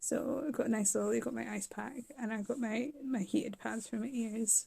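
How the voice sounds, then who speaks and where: A woman speaks in a fairly high pitch with a dark, mellow tone. Her voice is somewhat breathy. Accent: British. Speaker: vlogger recovering from surgery. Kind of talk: casual video diary.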